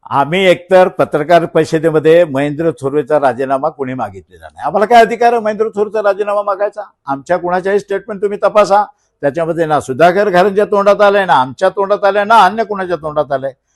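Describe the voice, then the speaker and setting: A man speaks with a high pitch and ordinary pitch variation in a dry, close sound with no echo. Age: 60s. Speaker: local politician. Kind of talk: press conference. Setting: press conference. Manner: animated.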